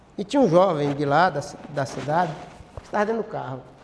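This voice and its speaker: A man's intonation moves in a lively way while noticeable background noise plays behind him. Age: 60s. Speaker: pastor. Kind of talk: bible class teaching. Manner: halting, frequent self-corrections; interactive, question-and-answer with audience.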